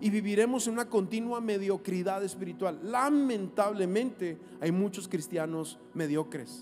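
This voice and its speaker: A man's lively intonation comes through as he talks at a moderate pace. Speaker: pastor. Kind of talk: sermon.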